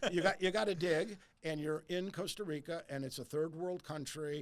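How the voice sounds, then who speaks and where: Moderate-paced speech from a man, with ordinary pitch variation. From US Midwest, suburb of Detroit, Michigan. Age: 60s. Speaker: real estate advisor. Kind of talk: interview conversation. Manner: animated, repeats words when starting sentences.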